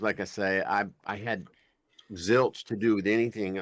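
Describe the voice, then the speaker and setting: In a Southern US accent, a man talks at a moderate pace with a fairly low pitch and fairly even intonation in a very clean recording with a silent background. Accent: southern US, about a seven out of ten. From raised in the American South. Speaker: voice actor, podcast guest.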